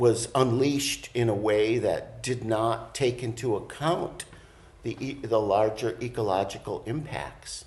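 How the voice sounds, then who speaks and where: A man speaks fairly slowly with an American accent. His pitch sits in the middle, and his intonation stays fairly even. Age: 60s. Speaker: college program co-director. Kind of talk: interview. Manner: halting, many fillers.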